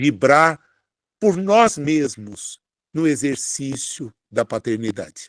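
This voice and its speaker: Recorded with a dry, close sound and no echo, a man with a fairly high pitch speaks at a very slow pace with very wide pitch swings. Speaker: spiritist speaker. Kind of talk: sermon. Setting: online broadcast.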